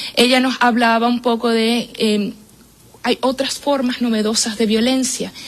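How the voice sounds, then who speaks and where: Noticeable background noise runs behind the recording. A woman talks in a monotone, flat intonation. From Venezuela. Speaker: women's shelter coordinator, political scientist. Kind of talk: radio interview. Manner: hesitant, many fillers.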